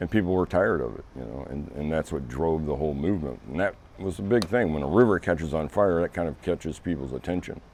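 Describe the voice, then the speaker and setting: A man talks at a very fast pace with hardly any pauses. His pitch is very deep and low, with vocal fry. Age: 60s. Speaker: interviewee, local resident. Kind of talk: interview. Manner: halting.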